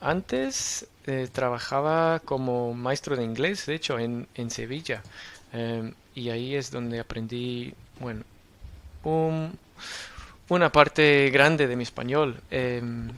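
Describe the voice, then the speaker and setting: A man talks at a very slow pace and medium pitch, with ordinary variation in pitch. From Australia. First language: English (speaking Spanish). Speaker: university lecturer in public policy. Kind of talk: podcast interview. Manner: halting, many fillers.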